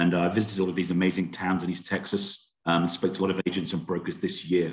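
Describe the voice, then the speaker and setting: Against a quiet background, a man with a British accent speaks in a very deep, low pitch. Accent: British, noticeable to US listeners. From UK. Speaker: home warranty sales representative. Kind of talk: sales presentation to real estate agents. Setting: video call.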